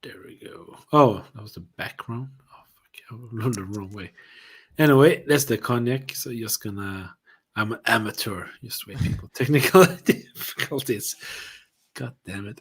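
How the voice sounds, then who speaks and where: The speaker has a Swedish accent and talks at a fairly slow pace. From Sweden. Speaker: whisky reviewer, livestream co-host. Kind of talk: casual chat. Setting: livestream.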